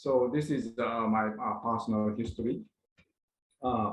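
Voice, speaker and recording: Here a man talks with fairly even intonation. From Japan. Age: 70s. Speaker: retired pharmaceutical executive, university advisor. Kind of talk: presentation. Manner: halting, many fillers.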